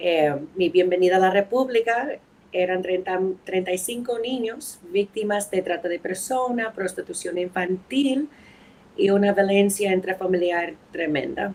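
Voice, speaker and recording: Speaking with an American accent, a woman uses a medium pitch with ordinary variation and a fairly slow pace. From New England, US (New Hampshire, Boston). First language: English (speaking Spanish). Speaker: anthropologist and lawyer. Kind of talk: podcast interview. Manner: halting.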